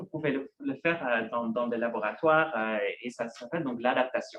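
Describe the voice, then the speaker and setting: The man speaks at a moderate pace. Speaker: researcher giving a talk. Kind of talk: lecture. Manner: halting, many fillers and repetitions.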